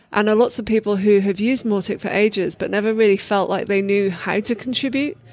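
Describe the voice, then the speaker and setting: A woman speaks at a very fast pace with hardly any pauses. Her intonation is fairly even. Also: medium pitch for a woman. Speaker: community leader. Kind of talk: casual interview.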